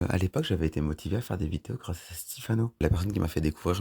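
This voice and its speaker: The man talks at a very fast pace. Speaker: YouTuber. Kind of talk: personal vlog storytelling. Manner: monotone; hesitant.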